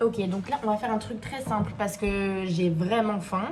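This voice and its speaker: Noticeable background noise surrounds a woman whose pitch varies in an ordinary way. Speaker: vlogger. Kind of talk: casual vlog talk to camera. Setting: at home, kitchen.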